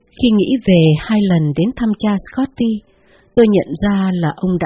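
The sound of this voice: An unforced reading voice with pitch varying in an ordinary way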